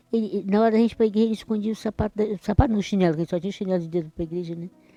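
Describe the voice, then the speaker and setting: A woman speaks at a very fast pace. Music is playing in the background. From Brazil, Espírito Santo (rural). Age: 60s. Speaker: church member. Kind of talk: interview testimony. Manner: halting, repeats words.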